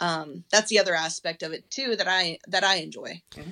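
On a very clean recording with a silent background, a woman with a fairly low voice and a bright, sharp tone speaks at a moderate pace. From Colorado. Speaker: teacher and fly rod builder. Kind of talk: casual chat.

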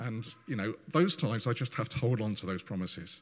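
A man's medium-pitched voice at a moderate pace. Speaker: church service leader. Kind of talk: church talk introducing testimonies. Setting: church. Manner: halting.

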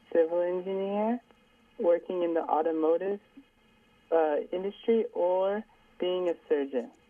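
A woman with a medium pitch speaks fairly slowly, and her pitch varies in an ordinary way. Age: young (19). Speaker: caller, university student. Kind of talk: phone-in question to radio host. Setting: phone call. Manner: polite, hesitant.

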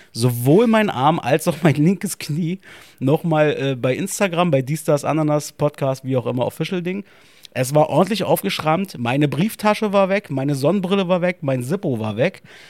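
On a very clean recording with a silent background, a man with an animated tone and lively intonation speaks at a moderate pace and a fairly high pitch. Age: 30s. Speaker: podcast co-host. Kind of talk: casual chat.

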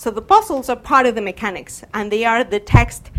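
Speaking at a moderate pace in a non-native accent, a woman uses a high pitch and lively intonation. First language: not English. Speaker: game studies researcher. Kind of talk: lecture. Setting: stage with audience.

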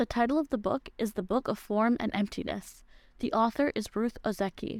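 An unremarkable speaking voice moves at a moderate pace with ordinary pitch variation, recorded dry and close with no echo. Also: woman. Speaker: book recommendation segment host. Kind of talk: scripted book recommendation read on radio.

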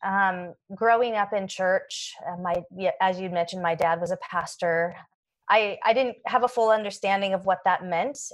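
A woman with a General American accent has a plain, everyday voice at a medium pitch and moderate pace. Her intonation is fairly even, over a quiet background. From US Pacific Northwest (Oregon, Washington). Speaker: school board member. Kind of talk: interview. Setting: studio.

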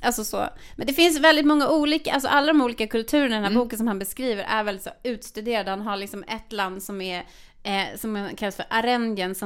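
With lively intonation and a fairly high pitch, a woman speaks at a very fast pace in a very clean recording with a silent background. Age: 40s. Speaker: podcast co-host. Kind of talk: casual chat.

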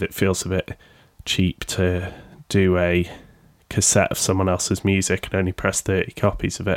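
Recorded very cleanly with a silent background and a dry, close sound with no echo, a man speaks in a very deep, low pitch. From Sheffield, England. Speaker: podcaster and record label co-owner. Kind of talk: casual solo podcast monologue. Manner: casual, chatty, self-deprecating.

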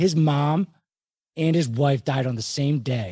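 Against a quiet background, a man with an American accent speaks in a fairly high, somewhat breathy voice with a dark, mellow tone and lively intonation. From Philadelphia, US. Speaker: podcast host. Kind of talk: casual interview chat.

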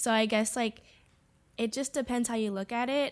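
On a very clean recording with a silent background, a woman talks at a fairly quick pace in a monotone, flat intonation. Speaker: podcast guest. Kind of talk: casual chat.

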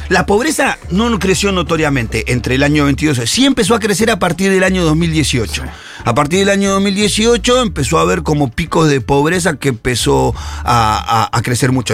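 Noticeable background noise surrounds this recording. A man speaks at a moderate pace. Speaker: social activist columnist. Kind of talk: radio column discussion.

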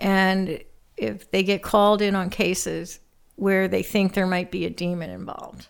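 The recording is very clean, with a silent background. A woman talks at a moderate pace. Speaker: co-host, mother of the host. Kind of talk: casual chat about movies. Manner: shy, introverted.

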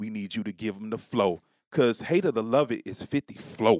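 In a normal speaking voice with an American accent, a man talks at a moderate pace, fairly low in pitch. His pitch varies in an ordinary way, and the sound is dry and close with no echo. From New York City. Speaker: podcast guest. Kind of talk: casual chat.

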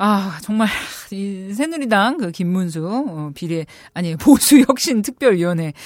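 Talking at a fairly slow pace, a woman lets her pitch swing very widely. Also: medium pitch for a woman, big swings in loudness. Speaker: political journalist, guest expert on politics. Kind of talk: casual conversation, explanatory discussion.

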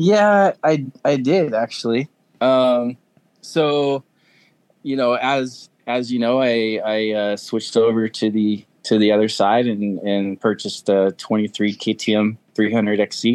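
A man's plain, everyday voice at medium pitch, fairly slow, with ordinary pitch variation, in a dry, close sound with no echo and a quiet background. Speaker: experienced adventure motorcycle rider. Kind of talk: casual chat. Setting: video call.

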